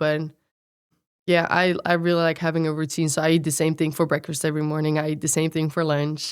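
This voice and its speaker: Heard in a very clean recording with a silent background, a woman with a Dutch accent speaks fairly quickly in a very deep, low voice with monotone, flat intonation. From Netherlands. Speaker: college athlete. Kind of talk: podcast interview.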